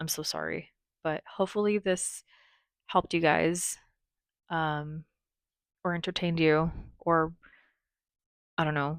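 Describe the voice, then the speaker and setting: On a very clean recording with a silent background and a dry, close sound with no echo, a woman speaks at a fairly low pitch in a monotone, flat intonation with long, frequent pauses. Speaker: beauty content creator. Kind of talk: casual vlog talk to viewers. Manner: loud; halting. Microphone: new mic, crisper audio.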